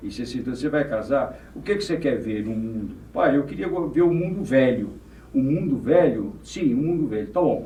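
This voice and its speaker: Fairly high for a man, this voice has lively intonation and a moderate pace, with audible room echo around it. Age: 80s+. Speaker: former mayor and businessman. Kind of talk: podcast interview.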